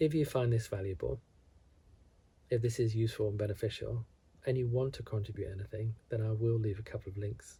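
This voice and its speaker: A man speaks in a calm tone at a fairly quick pace, his medium-pitched voice dark, mellow and somewhat breathy. His intonation stays fairly even, broken by long, frequent pauses. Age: 50s. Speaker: wellness vlogger. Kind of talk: reflective monologue. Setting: at home alone.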